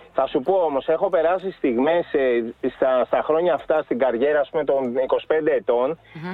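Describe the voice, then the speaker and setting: Over noticeable background noise, a man speaks at a moderate pace in a fairly high pitch. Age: 40s. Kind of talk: casual chat.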